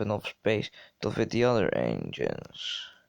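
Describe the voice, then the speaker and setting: Medium-pitched man with a Dutch accent and vocal fry. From Netherlands. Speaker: gaming youtuber. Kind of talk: tutorial. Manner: halting.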